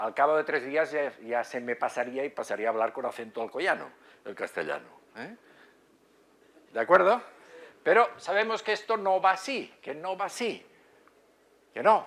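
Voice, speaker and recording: In a Catalan accent, the speaker's pitch swings very widely, broken by long, frequent pauses. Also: man, fairly high pitch for a man, moderate pace. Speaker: psychiatry professor. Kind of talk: lecture. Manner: halting, many fillers.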